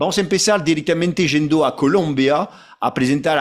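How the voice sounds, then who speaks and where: A man with a French accent. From France. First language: French (speaking Spanish). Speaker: association president, webinar moderator. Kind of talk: webinar moderation. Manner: halting, with fillers and repetitions.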